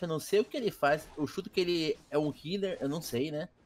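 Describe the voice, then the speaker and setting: A man's moderately paced speech shows ordinary pitch variation. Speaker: game commentator. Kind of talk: live sports-style esports commentary. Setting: recorded gameplay commentary. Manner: animated, excited play-by-play.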